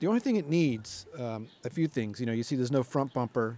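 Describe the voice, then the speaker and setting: Spoken at a fairly quick pace, the voice sounds dry with no echo over light background noise. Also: man. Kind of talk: casual walkaround description. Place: garage. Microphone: phone near.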